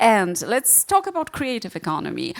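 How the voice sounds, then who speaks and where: Speaking at a moderate pace with a Polish accent, a woman talks over noticeable background noise. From Poland. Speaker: panel moderator. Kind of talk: panel discussion.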